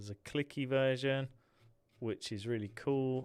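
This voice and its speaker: The voice carries an English accent. The recording is very clean, with a silent background. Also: man. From England. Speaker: tech YouTuber. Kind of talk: livestream software tutorial. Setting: livestream. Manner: casual, chatty.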